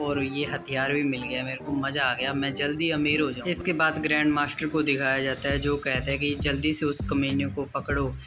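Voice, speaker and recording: At a moderate pace, the speech continues with music in the background. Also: man. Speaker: comic recap narrator. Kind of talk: story recap narration. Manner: casual.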